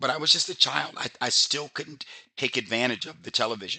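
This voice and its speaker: A man at a fairly quick pace, bright and sharp in tone. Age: 60s. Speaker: business opportunity presenter. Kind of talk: sales pitch. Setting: webinar. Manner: fast; casual, halting.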